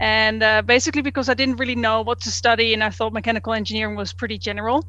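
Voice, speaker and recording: A woman with a Dutch accent at a very fast pace. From Netherlands. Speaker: engineering manager at a refinery. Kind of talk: interview. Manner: halting.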